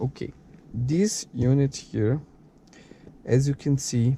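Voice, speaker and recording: At a fairly slow pace, a man with a Brazilian Portuguese accent talks in a dark, mellow tone with ordinary pitch variation. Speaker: car product reviewer. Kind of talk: tutorial. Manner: halting.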